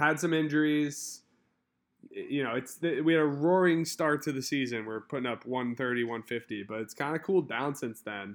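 This man speaks at a moderate pace, with medium pitch and ordinary pitch variation. The recording is very clean, with a silent background. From Philadelphia. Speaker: fantasy football podcast host. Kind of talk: casual chat.

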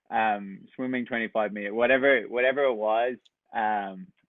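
A man with a west Irish accent speaks at a medium pitch in a monotone with flat intonation. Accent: Irish, west coast. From west coast of Ireland. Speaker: camp counselor. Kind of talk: casual interview.

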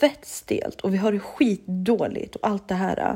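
An animated woman's voice, fairly high in pitch, at a fairly slow pace. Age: 30s. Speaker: solo podcast host. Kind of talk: casual monologue.

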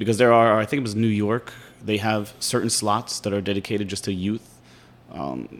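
Speaking at a fairly quick pace, a man has a normal speaking voice, fairly low pitch, and fairly even intonation. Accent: American. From Pittsburgh, Pennsylvania. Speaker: podcast host. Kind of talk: interview. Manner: casual.

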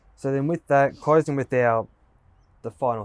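Speaking with an Australian accent, the voice moves at a moderate pace with fairly even intonation. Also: man. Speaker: podcast host. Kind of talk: interview. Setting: at a football oval.

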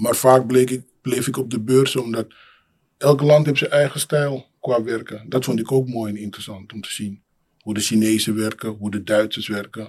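A man with a plain, everyday voice talks at a moderate pace in a medium pitch, his intonation fairly even but his loudness swinging widely. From Amsterdam city centre, born in Suriname. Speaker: building maintenance technician. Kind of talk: casual interview conversation.

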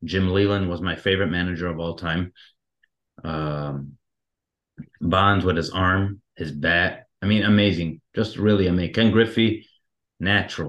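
Over a quiet background, a man with a very deep, low pitch speaks at a fairly slow pace, with fairly even intonation and long, frequent pauses. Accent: American. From Detroit, Michigan. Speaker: baseball fan. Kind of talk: casual chat.

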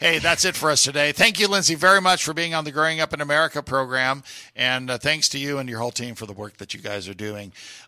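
A man at a very fast pace, fairly high in pitch, with a bright, sharp tone, lively intonation and big swings in loudness, on a very clean recording with a silent background. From US (moved from Puerto Rico in high school). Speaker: radio host. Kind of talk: radio talk show. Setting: studio.

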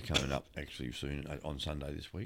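This is a man speaking. He has an Australian accent. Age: 60s. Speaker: podcast co-host. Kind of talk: casual chat. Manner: halting, lots of fillers.

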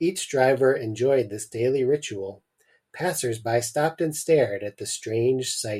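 The reading voice sounds natural. Nothing stirs in the background.

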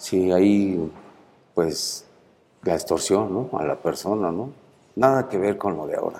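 With long, frequent pauses, a man speaks at a fairly slow pace in a dark, mellow tone, with a fairly low pitch and ordinary pitch variation. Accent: Mexico City. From Mexico City. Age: 50s. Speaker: prison inmate. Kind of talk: interview.

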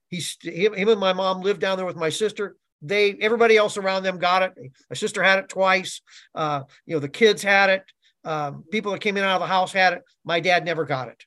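A man's raised, projected voice, high-pitched with a bright, sharp tone, ordinary pitch variation and a very fast pace, against a quiet background. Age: 60s. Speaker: marketing executive. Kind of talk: testimony.

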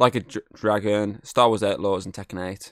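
A man with a plain, everyday voice, at a moderate pace with fairly even intonation, in a dry, close sound with no echo and a very clean recording over a silent background. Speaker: podcast host. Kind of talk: casual banter, gaming chat. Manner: profane, joking, laughing.

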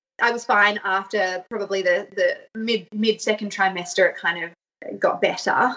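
A woman with an Australian accent at medium pitch, bright and sharp in tone, moderate in pace, with fairly even intonation. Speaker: mother sharing birth story. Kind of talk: personal storytelling interview.

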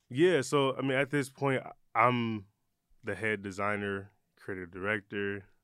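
In an American accent, a man speaks fairly slowly with a fairly low pitch and ordinary pitch variation, leaving long, frequent pauses. His tone is bright and sharp, and the recording is very clean with a silent background. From Michigan, Detroit. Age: 30s. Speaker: eyewear brand founder. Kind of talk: interview. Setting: studio.

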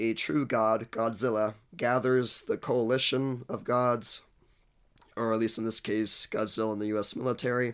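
A man's medium-pitched, monotone, flat delivery at a moderate pace. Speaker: film commentator. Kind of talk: video essay.

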